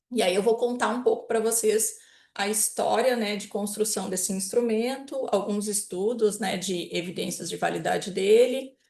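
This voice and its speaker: Speaking at a moderate pace, a woman with a southern Brazilian accent has a fairly high voice and fairly even intonation. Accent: gaúcho. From southern Brazil (Rio Grande do Sul). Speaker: psychology professor. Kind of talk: lecture.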